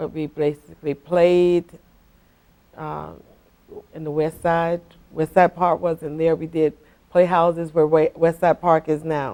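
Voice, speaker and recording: A woman with a very deep, low pitch and a dark, mellow tone speaks slowly in a monotone, flat delivery. Long, frequent pauses break her speech, and her loudness swings widely. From South Florida (Deerfield Beach). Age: 60s. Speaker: longtime local resident. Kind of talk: oral history interview. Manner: halting, with frequent fillers and restarts.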